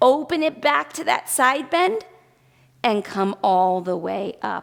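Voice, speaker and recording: Very slowly, a woman speaks at a high pitch with very wide pitch swings. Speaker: pilates instructor. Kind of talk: workout instruction. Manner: rhythmic cueing with breath counts.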